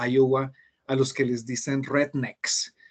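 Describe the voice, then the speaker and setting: A man's voice sits fairly high in pitch as he goes along at a fairly slow pace. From Colombia. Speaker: Spanish teacher. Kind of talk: interview conversation. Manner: hesitant fillers.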